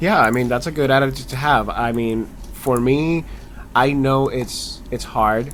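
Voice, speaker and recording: The speech goes at a moderate pace. Background noise is noticeable. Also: man. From Latin America. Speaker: interviewer, channel host. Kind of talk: casual interview.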